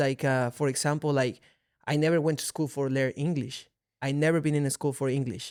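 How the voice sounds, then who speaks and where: A man with a Mexican accent talks at a fairly quick pace in a fairly high pitch, his intonation monotone and flat. The recording is very clean with a silent background. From Mexico City, Mexico. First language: Spanish. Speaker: mixed martial arts fighter. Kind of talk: casual chat. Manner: halting.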